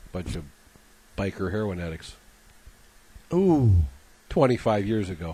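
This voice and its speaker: A man's fairly low, somewhat breathy voice, lively in intonation, at a fairly slow pace with long, frequent pauses. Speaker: radio co-host. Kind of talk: casual chat.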